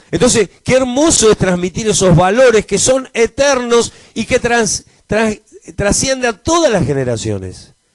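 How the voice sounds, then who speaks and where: The speaker has a Rioplatense accent and a lively intonation at a fairly slow pace. The sound is dry and close, with no echo. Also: man, high pitch for a man. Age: 60s. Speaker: pastor. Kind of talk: sermon. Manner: halting, frequent repetitions.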